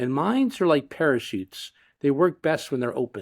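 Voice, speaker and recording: On a very clean recording with a silent background, a man with an American accent and a fairly high voice makes very wide pitch swings. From Florida, US. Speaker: tech company CEO. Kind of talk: casual chat. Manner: halting.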